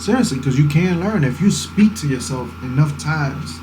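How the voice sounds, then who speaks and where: A man speaks over noticeable background noise, with audible room echo. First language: Spanish. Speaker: vlogger. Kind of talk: casual talking vlog, life advice. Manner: earnest, motivational.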